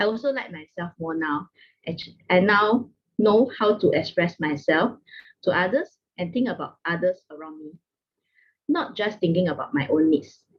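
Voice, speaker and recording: A woman talks at a moderate pace with lively intonation. Her pitch is medium and her voice is somewhat breathy. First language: not English. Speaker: network marketing distributor. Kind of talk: testimony.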